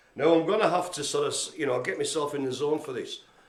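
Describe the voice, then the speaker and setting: A man's high-pitched voice with lively intonation and audible room echo. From northern England, Carlisle. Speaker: live stream host for a community project. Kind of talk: mock-dramatic performance; casual live broadcast chat. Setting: live streamed video from the centre. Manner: ad-libbing; animated.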